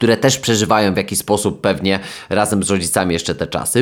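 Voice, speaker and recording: A man with a plain, everyday voice speaks fairly low and at a fairly quick pace. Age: 20s. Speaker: sports psychologist and podcast host. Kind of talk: solo podcast monologue. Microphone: new microphone.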